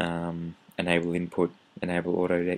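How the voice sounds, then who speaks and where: A man speaks at a very slow pace. His voice is very deep and low. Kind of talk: software tutorial. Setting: home recording. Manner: casual, hesitant.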